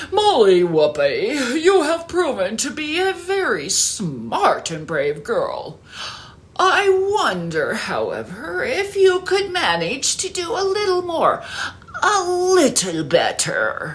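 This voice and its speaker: An extremely high, put-on character voice speaks at a very slow pace. Light background noise can be heard. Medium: read story. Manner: measured, regal.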